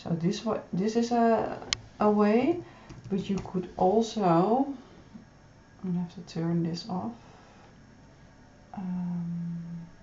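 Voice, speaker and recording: A woman speaks at a very slow pace with long, frequent pauses. Audible room echo and noticeable background noise fill the recording. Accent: Dutch. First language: Dutch. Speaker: pattern designer. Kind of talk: tutorial. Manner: halting.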